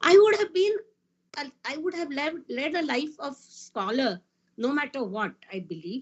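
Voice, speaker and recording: Her voice high in pitch, a woman talks at a fairly slow pace with very wide pitch swings. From India, Maharashtra. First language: Marathi. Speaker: physicist. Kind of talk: panel talk.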